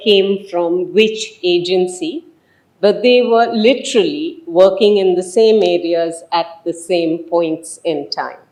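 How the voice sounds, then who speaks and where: Amid audible room echo, a woman talks at a fairly slow pace with ordinary pitch variation. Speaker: professor. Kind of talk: lecture. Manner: loud.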